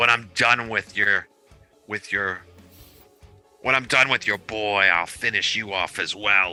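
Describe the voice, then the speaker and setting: Faint music plays behind a man doing a put-on character voice at a fairly slow pace with long, frequent pauses. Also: fairly low pitch for a man. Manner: jittery, through clenched teeth.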